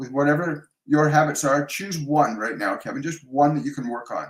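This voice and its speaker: This man has an unremarkable speaking voice with a Canadian accent, fairly high in pitch for a man, with ordinary pitch variation at a moderate pace. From Canada. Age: 60s. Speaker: psychic medium and life coach. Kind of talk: live stream Q&A, spiritual advice. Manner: warm, conversational with frequent fillers.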